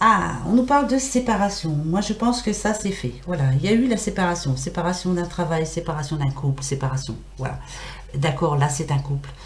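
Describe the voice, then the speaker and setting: With audible room echo and noticeable background noise, the speaker has an animated tone, very wide pitch swings and a moderate pace. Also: woman, fairly low pitch for a woman. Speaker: tarot card reader. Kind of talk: weekly tarot reading livestream.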